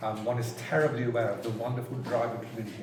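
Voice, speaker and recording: A man talks at a very fast pace in a medium pitch. There is noticeable background noise along with audible room echo. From England, Cornwall. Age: 60s. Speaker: carriage driving judge. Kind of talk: casual chat.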